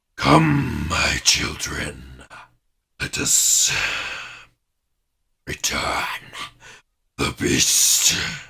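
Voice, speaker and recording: A man puts on a character voice that is raspy and very deep, low in pitch. He talks at a very slow pace with long, frequent pauses. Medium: actual play. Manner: imperious, grandiose.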